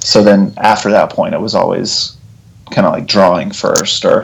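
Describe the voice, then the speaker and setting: A man with an American accent speaks at a moderate pace over noticeable background noise. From Texas (Abilene, Lubbock). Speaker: author and illustrator. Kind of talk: interview conversation.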